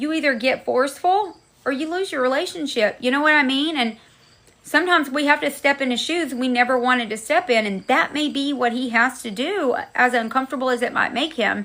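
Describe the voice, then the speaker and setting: A woman speaks loudly at a fairly quick pace with a high pitch. Her tone is animated. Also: ordinary pitch variation. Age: 40s. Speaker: livestream host. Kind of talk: casual chat.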